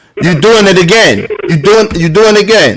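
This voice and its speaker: A man speaks loudly at a fairly quick pace. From New Jersey, Plainfield. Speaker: live stream podcast host. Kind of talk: heated debate.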